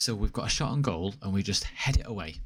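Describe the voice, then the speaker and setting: Somewhat breathy and fairly low-pitched, a man speaks with a Mancunian accent and ordinary pitch variation. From Manchester, northern England. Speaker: video game streamer. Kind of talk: live gameplay commentary. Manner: animated.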